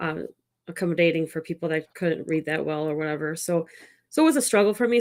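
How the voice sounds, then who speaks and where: Heard in a very clean recording with a silent background, a woman speaks at a fairly low pitch with ordinary pitch variation. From Chicago area, US Midwest. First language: Italian. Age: 40s. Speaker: tech startup founder. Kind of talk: podcast interview.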